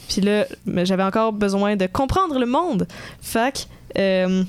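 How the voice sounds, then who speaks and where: A woman talks at a moderate pace and medium pitch, the recording very clean and the background silent. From Quebec, Sherbrooke. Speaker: economics student podcaster. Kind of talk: casual chat.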